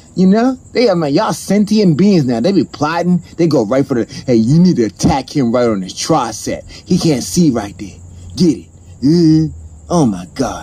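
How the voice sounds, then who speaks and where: A man's fairly high, somewhat breathy voice with a dark, mellow tone and very wide pitch swings. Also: moderate pace. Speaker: comedian. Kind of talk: improvised comedy rant to camera. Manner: energetic, animated. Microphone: phone near.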